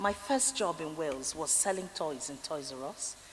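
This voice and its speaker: With a Nigerian accent, a woman talks with ordinary pitch variation. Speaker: honorary fellow giving graduation address. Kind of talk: commencement speech. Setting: graduation ceremony hall.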